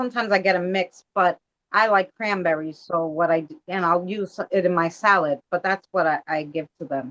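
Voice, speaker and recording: A woman with a normal speaking voice and an American accent talks at a fairly low pitch with ordinary pitch variation, the sound dry and close with no echo. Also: moderate pace. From Astoria, Queens, New York City. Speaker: live stream co-guest. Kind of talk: casual chat. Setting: shared live stream.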